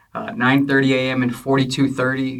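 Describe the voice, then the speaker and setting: Noticeable background noise sits behind a man speaking at a medium pitch. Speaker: church minister and podcast host. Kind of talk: casual interview chat.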